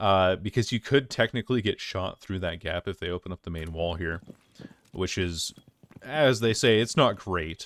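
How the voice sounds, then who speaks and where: A man speaks in a very deep, low pitch with ordinary pitch variation. The sound is dry and close, with no echo. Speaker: gaming YouTuber. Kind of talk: gameplay commentary. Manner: fast.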